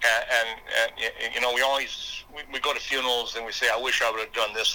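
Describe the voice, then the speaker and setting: Speaking at a fairly quick pace, a man talks with an Upper Midwest US accent. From South Dakota. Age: 60s. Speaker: motivational speaker and former state legislator. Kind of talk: interview conversation. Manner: halting, repeats words.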